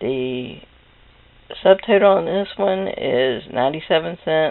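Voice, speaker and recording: Quietly, a woman speaks with very deep, low pitch and lively intonation. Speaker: couponing vlogger. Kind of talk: casual haul video monologue. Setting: home computer room. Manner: quiet, talking low; hesitant, many fillers.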